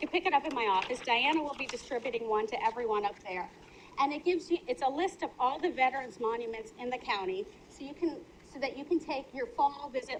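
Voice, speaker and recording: Her American accent, high pitch and lively intonation stand out as a woman talks very fast over noticeable background noise. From Minnesota. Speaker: county official. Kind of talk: public meeting presentation.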